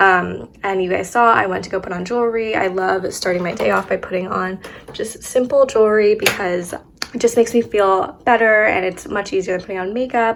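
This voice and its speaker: Amid noticeable background noise, a woman with a medium pitch talks at a fairly quick pace. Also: ordinary pitch variation. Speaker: lifestyle vlogger. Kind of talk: casual vlog narration. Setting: at home, apartment. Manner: chatty, filler-heavy.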